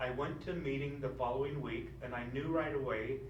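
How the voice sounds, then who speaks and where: Moderate pace from a male speaker, noticeable background noise and audible room echo behind him. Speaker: stroke survivor with aphasia, keynote speaker. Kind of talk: speech. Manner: halting.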